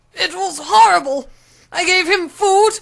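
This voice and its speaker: In a put-on character voice, a female-sounding voice moves along at a moderate pace. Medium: audio drama.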